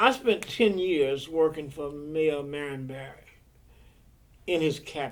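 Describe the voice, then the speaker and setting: In an American accent, the speaker talks at a very slow pace with ordinary pitch variation. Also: man. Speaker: retired city government official. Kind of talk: oral history interview answer.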